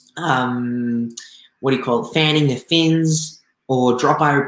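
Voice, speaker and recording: A man with an Australian accent is heard with audible room echo against a quiet background. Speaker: aquarium YouTuber; aquarium hobby streamer. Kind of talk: live stream talk. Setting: live stream with chat. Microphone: headset.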